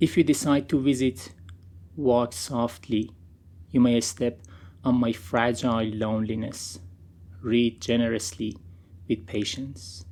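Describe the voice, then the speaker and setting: Leaving long, frequent pauses, a man speaks at a medium pitch with ordinary pitch variation and a dark, mellow tone. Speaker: poet. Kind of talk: poetry reading. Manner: slow.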